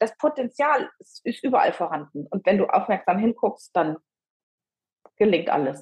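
Long, frequent pauses break up a woman's speech, which swings very widely in pitch. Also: medium pitch for a woman, moderate pace. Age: 50s. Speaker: midlife coach. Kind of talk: interview.

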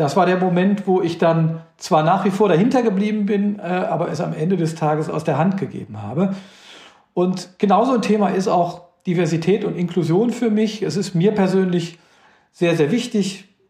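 The man's voice is high in pitch with a dark, mellow tone, moving at a moderate pace. Pitch variation is ordinary, and audible room echo surrounds him. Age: 50s. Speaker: company CEO. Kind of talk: interview.

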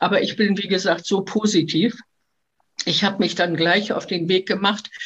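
A somewhat breathy woman at a medium pitch, with ordinary pitch variation. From Hamburg, northern Germany. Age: 70s. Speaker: retired tour guide living with Parkinson's. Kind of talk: life story interview. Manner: hesitant with fillers.

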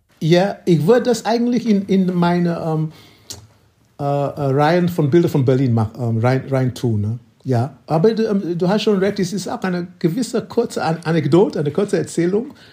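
A man with a high pitch and a dark, mellow tone speaks with very wide pitch swings. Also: moderate pace. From Nigeria. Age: 70s. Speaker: photographer. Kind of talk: interview. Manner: halting.

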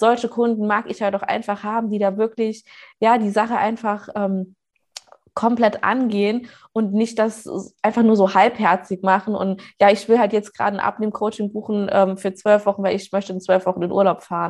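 A woman's medium-pitched voice in monotone, flat intonation. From Saarland, Germany. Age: 20s. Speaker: weight-loss coach. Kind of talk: casual interview.

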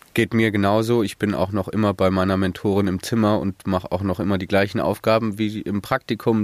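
A man speaks at a fairly quick pace in a plain, everyday voice, fairly low in pitch with fairly even intonation. The sound is dry and close with no echo, on a very clean recording with a silent background. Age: 20s. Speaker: student, construction site worker. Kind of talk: casual interview.

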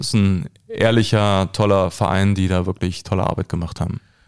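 A man's very deep, low-pitched voice with ordinary pitch variation. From Berlin (Köpenick), former East Germany. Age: 40s. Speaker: actor. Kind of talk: casual interview. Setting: small studio. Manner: hesitant with many fillers.

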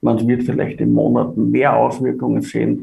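Audible room echo surrounds the man as he speaks at a moderate pace. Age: 50s. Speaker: finance executive. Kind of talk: interview.

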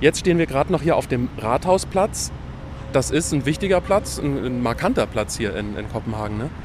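Noticeable background noise sits behind the man as he delivers his words at a moderate pace. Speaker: podcast host. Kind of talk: travel podcast on location. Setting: outdoors in the city.

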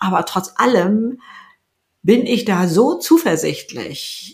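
A woman speaks at a very slow pace. Her voice carries vocal fry. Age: 70s. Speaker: YouTuber and author. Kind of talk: interview.

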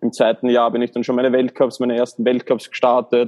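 Recorded dry and close with no echo, a man with an Austrian accent speaks at a medium pitch. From Austria, Baden (Lower Austria). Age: 30s. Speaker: former Olympic athlete and coach. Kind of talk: interview. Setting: hotel room. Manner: halting.

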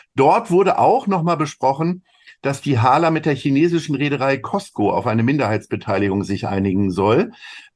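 This voice moves at a moderate pace. Its pitch rises and falls very widely. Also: man, fairly high pitch for a man. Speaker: podcast co-host, agency managing director. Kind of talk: casual chat.

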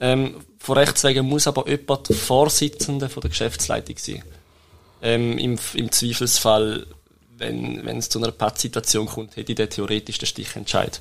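In a plain, everyday voice, a man holds a medium pitch and a moderate pace. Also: ordinary pitch variation. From Switzerland, Toggenburg (St. Gallen). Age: 20s. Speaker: web agency co-founder. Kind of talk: interview. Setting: studio. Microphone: shared microphone, may sound quieter.

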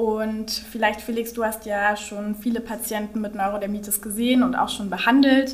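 Noticeable background noise and audible room echo surround a woman talking at a moderate pace with a medium pitch. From Berlin. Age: young. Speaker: doctor, podcast co-host. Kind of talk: educational conversation.

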